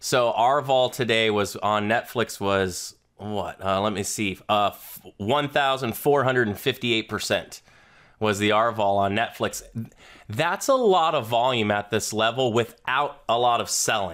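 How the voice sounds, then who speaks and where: Recorded very clean with a silent background, a man with an American accent and an ordinary speaking voice talks at a fairly slow pace with ordinary pitch variation. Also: medium pitch for a man. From US South, Florida. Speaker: trader. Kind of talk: casual chat.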